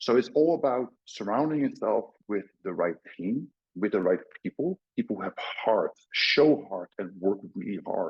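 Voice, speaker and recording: A man with a Dutch accent at a moderate pace. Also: medium pitch for a man, lively intonation. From Netherlands. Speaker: crypto company CEO. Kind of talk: podcast interview. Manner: halting, many fillers.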